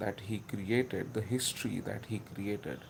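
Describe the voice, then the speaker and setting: A man speaks with a Marathi Indian accent. His pitch is fairly low. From India (Maharashtra). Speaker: history video maker. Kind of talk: casual commentary monologue. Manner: halting, many filler words.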